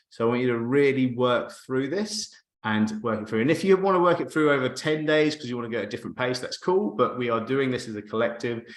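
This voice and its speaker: With lively intonation, the speaker races along at a very fast pace with hardly any pauses. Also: man, medium pitch for a man. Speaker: marketing coach. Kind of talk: live webinar presentation. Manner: animated.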